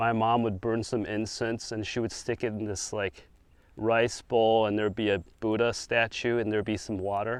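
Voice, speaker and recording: A man's medium-pitched voice with an American accent, monotone, flat intonation and a moderate pace, against a quiet background. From China, moved to the US at seven. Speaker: speaker sharing his testimony. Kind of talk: testimony. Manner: casual, with frequent fillers and restarts.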